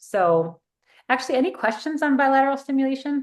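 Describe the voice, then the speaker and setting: A woman speaks in an ordinary speaking voice. Her American accent carries lively intonation. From US East Coast. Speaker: therapist. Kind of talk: online training workshop.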